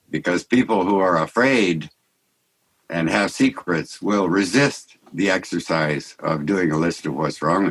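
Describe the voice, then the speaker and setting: At a fairly slow pace, a man talks in a very deep, low pitch with ordinary pitch variation. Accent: American. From US West Coast, Santa Barbara. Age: 70s. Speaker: artist and mystic, podcast guest. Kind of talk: conversational interview. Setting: video call. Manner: halting.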